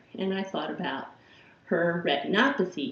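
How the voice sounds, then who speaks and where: A woman with an American accent talks at a moderate pace, with audible room echo and noticeable background noise around her. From Chicago, Illinois. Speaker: philosophy professor. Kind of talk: course introduction lecture.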